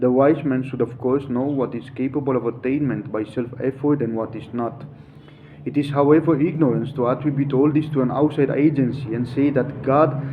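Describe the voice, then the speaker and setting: Over noticeable background noise, a man with a non-native accent talks at a fairly quick pace in a flat, monotone delivery at medium pitch. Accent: non-native English pronunciation. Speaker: yoga teacher. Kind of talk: reading aloud with commentary. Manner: halting, self-correcting.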